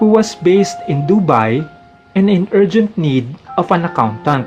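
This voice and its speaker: A Filipino accent at a fairly slow pace, lively intonation, and music in the background. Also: man. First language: Tagalog. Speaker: accountant. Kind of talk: personal memoir narration.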